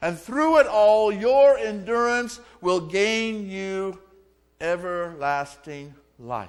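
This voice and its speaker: Very slowly, a man with a high-pitched voice and an American accent speaks with very wide pitch swings. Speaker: Methodist pastor. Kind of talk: sermon delivered to a congregation.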